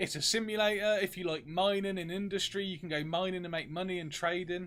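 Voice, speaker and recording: With a British accent, this man speaks at a high pitch using fairly even intonation. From UK. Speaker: game streamer. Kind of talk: live gameplay stream chat.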